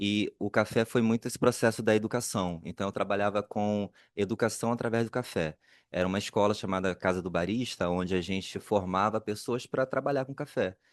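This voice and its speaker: A man's fairly low voice at a fairly quick pace, dry and close with no echo, over a quiet background. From Brazil, Rio de Janeiro (Duque de Caxias, Baixada Fluminense). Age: 40s. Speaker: cultural producer, panelist. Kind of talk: panel discussion self-introduction. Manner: halting.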